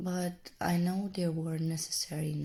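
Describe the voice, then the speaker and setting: A soft-spoken voice comes through on a very clean recording with a silent background. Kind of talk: ASMR reflective talk to camera.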